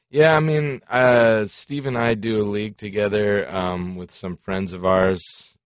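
Here a man with an American accent speaks in a plain, everyday voice at a fairly low pitch. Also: ordinary pitch variation, fairly slow pace. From Colorado and South Florida. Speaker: rock band member. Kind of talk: casual chat. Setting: studio.

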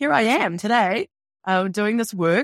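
A woman with a New Zealand accent speaks with ordinary pitch variation in a very clean recording with a silent background and a dry, close sound with no echo. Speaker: author and spiritual guide. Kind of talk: casual interview.

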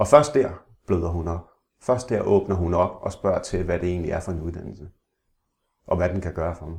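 A man with a very deep, low pitch and a somewhat breathy voice speaks at a moderate pace with ordinary pitch variation, big swings in loudness, and long, frequent pauses. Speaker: blind interviewee, former salesman. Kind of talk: interview. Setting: at home. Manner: halting, repeats words.

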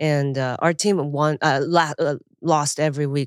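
With a very deep, low pitch and monotone, flat intonation, a woman speaks at a fairly slow pace on a very clean recording with a silent background. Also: dry, close sound with no echo. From Japan, Chiba near Tokyo; born in Taiwan. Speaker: stand-up comedian. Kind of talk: casual interview chat.

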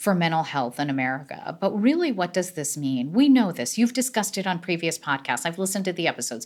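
With very wide pitch swings and an animated tone, a woman speaks fairly quickly in a fairly low pitch, captured in a very clean recording with a silent background. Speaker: neurologist. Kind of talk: interview.

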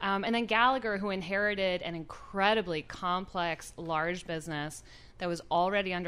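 A woman talks at a fairly quick pace in a normal speaking voice. Her pitch is fairly low. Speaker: investment chief officer. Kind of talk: radio interview. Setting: studio.

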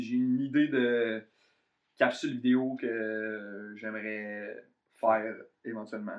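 A man with a Quebec accent, very slow pace and fairly even intonation. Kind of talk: casual chat.

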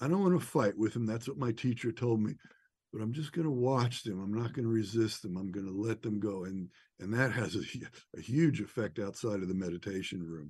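Over a quiet background, a man with an American accent and a plain, everyday voice speaks in a fairly low pitch with lively intonation. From New York area. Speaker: neurofeedback practitioner. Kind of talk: interview.

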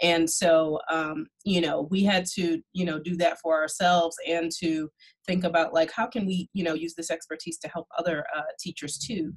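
A woman with an American accent and a fairly low pitch speaks at a moderate pace with hardly any pauses. She has a normal speaking voice and fairly even intonation. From New York (Brooklyn). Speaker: education researcher. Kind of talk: panel discussion.

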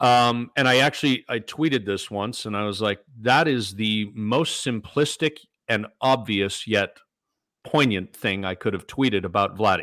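A man with an Ontario accent speaks in a bright, sharp tone at a medium pitch, with ordinary pitch variation. His pace is moderate, and the recording is very clean with a silent background. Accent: Canadian (Ontario). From Toronto area, Canada. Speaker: former sports radio host. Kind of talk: casual sports talk interview.

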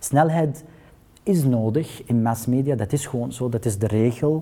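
A man speaks at a fairly slow pace with a dark, mellow, somewhat breathy tone. His pitch varies in an ordinary way. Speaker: journalist at public broadcaster news desk. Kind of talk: panel discussion. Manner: halting.

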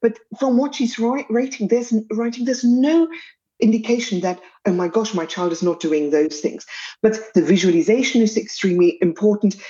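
A woman speaks with a South African accent, her tone dark and mellow and her pitch fairly high. She talks at a moderate pace with lively intonation. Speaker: pediatric dietitian. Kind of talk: interview.

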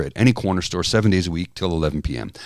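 A man talks at a very fast pace with a very deep, low pitch, vocal fry and ordinary pitch variation, on a very clean recording with a silent background. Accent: Canadian. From Canada. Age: 50s. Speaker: podcast co-host. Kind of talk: casual chat.

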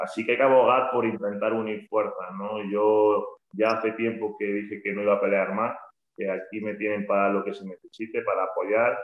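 A man with a fairly low pitch, monotone, flat intonation and a moderate pace. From Andalusia, Spain. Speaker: basketball coach. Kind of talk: podcast interview.

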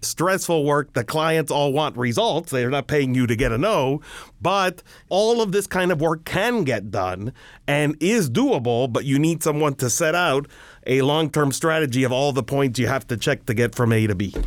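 This man has a plain, everyday voice and an American accent, pitched fairly high with lively intonation. He keeps a moderate pace at very even loudness. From Miami, Florida. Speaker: immigration attorney. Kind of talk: interview.

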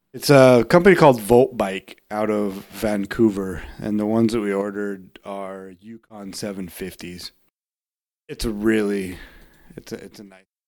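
A man with an unremarkable speaking voice talks at a moderate pace, fairly low-pitched, with ordinary pitch variation and big swings in loudness. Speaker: podcast co-host. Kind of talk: casual chat.

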